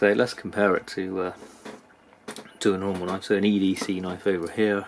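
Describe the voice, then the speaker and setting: This man has a very deep, low pitch. He speaks with a British accent. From UK. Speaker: knife reviewer, YouTuber. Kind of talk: product review. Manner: hesitant, many fillers.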